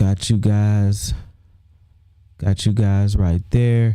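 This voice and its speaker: A man's fairly low-pitched voice carries a dark, mellow tone and fairly even intonation. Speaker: YouTube livestream host. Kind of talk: casual livestream monologue. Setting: livestream. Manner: stutters, repeats words.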